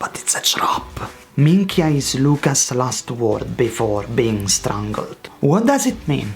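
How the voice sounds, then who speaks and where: The pace is very slow. Background noise is noticeable. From Italy. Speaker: language teacher. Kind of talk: tutorial. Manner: animated.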